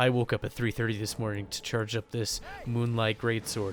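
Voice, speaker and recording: Very fast talk from a man at medium pitch over noticeable background noise. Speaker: gaming YouTuber. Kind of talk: gameplay commentary. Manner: slurs words when speaking quietly; frequent fillers like right and uh.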